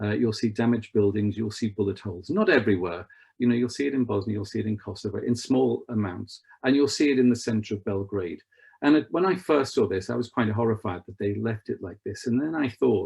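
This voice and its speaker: Speaking at a very fast pace in a Liverpool accent, a man has a medium pitch, ordinary pitch variation and a somewhat breathy voice. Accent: Scouse. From northern England, Merseyside. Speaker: travel expert. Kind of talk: online presentation with slides. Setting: online video event. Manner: conversational, with frequent fillers.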